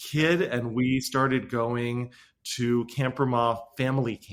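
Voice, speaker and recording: In a very clean recording with a silent background, a man with an American accent speaks at a fairly slow pace, his medium-pitched voice bright and sharp in tone. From Southern California. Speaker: rabbi. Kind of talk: interview conversation. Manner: frequent repetitions and fillers.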